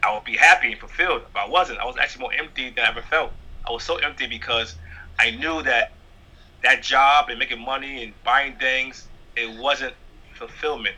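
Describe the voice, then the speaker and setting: The pace is fairly quick. He talks with a New York accent. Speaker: stand-up comedian. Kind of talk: interview.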